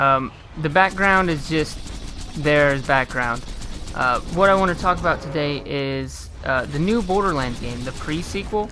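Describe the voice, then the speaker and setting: Noticeable background noise sits under speech that moves fairly slowly. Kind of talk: casual gaming commentary. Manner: hesitant, many filler sounds.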